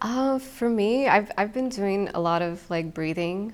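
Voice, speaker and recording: Using an American accent, a woman talks in a calm tone at a fairly slow pace with ordinary pitch variation. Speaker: singer-songwriter. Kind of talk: casual interview. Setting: conference room at a festival. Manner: calm, zen.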